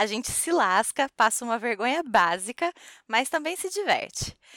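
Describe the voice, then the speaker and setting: A woman speaks at a high pitch with very wide pitch swings. Her pace is moderate, and the recording is very clean with a silent background. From Brazil. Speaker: podcast host. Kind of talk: casual chat.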